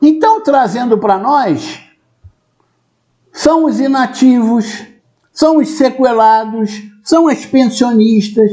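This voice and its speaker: A man at a very slow pace with extremely high pitch, ordinary pitch variation, very even loudness, and long, frequent pauses. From Brazil. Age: 60s. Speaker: retired police colonel, commentator. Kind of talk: video commentary monologue.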